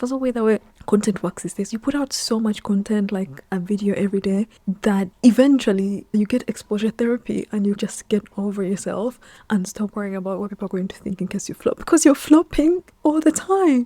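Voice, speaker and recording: A woman speaks at a fairly quick pace in a dark, mellow, somewhat breathy voice of medium pitch, with ordinary pitch variation and a dry, close sound with no echo. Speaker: content creator and video editor. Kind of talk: casual talking-head vlog. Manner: candid, conversational.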